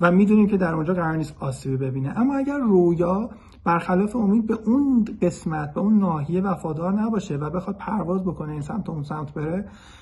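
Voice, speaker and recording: A man talks at a very fast pace with lively intonation. His pitch is high, and he hardly pauses at all. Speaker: bird conservationist. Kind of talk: explanatory monologue. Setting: self-recorded video.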